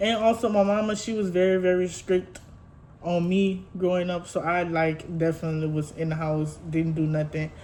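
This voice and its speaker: A woman speaks at a moderate pace with a fairly low pitch and fairly even intonation. Audible room echo surrounds her voice. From Louisiana, Houma. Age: 20s. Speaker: lifestyle vlogger. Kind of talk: casual get-to-know-me vlog. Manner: chatty, informal.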